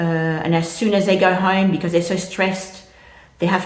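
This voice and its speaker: There is audible room echo as a woman speaks in a fairly low voice with fairly even intonation. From French-speaking country. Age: 60s. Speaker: vlogger. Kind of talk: casual monologue. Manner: hesitant, many fillers.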